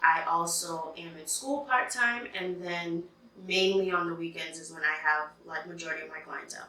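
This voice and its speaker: A woman with a fairly low pitch speaks at a moderate pace, her pitch varying in an ordinary way. Her loudness swings widely over noticeable background noise. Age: 30s. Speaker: freelance makeup artist. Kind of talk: casual podcast-style talk to camera.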